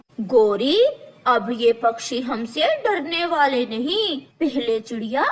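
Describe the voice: A man in a cartoonish character voice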